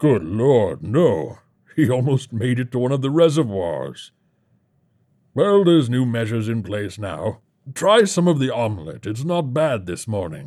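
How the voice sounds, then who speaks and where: In a put-on character voice, a man speaks at a moderate pace and medium pitch with very wide pitch swings, on a very clean recording with a silent background. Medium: read story. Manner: jovial, complacent, callously amused.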